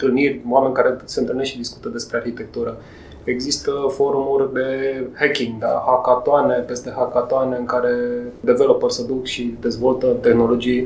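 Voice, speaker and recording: Noticeable background noise and audible room echo surround the recording. A man speaks in a flat monotone at a moderate pace. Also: medium pitch for a man. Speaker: podcast host. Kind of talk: interview.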